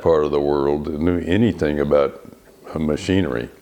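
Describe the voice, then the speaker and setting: A man talks with a West Texas accent and ordinary pitch variation. Noticeable background noise runs underneath. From Texas Panhandle. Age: 80s+. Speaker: retired naturalist volunteer. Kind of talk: oral history interview.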